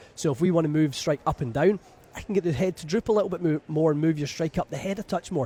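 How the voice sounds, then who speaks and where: Speaking at a very fast pace with a Scottish accent, a man with a fairly high pitch and a dark, mellow tone keeps ordinary pitch variation in a dry, close recording with no echo. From Scotland, west coast near Glasgow. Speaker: golf club fitter. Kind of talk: radio interview. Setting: radio booth at a trade show.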